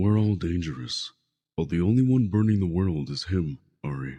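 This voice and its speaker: A man puts on a character voice at a very deep, low pitch, talking at a moderate pace with lively intonation. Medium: audio drama. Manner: calm, reassuring.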